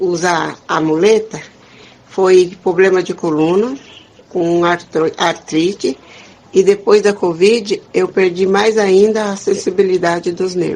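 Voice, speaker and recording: Fairly slow and with fairly even intonation, a woman of medium pitch talks in an unremarkable speaking voice. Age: 60s. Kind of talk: interview.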